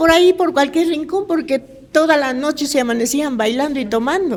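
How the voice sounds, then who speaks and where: A woman's voice amid noticeable background noise. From Ecuador, Quito (Cotocollao). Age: 60s. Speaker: retired local resident. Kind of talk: casual chat.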